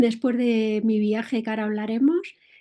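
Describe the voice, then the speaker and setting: In a very clean recording with a silent background, a woman speaks with a Madrid accent in a dark, mellow tone. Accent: Castilian Spanish (Madrid). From Spain, Madrid. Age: 60s. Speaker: entrepreneur and motorcycle traveler. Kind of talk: interview.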